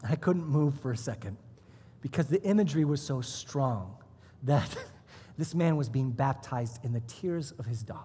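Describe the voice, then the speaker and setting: A man's somewhat breathy voice with a dark, mellow tone and fairly high pitch, at a moderate pace with long, frequent pauses. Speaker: pastor. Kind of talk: sermon. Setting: church service with congregation.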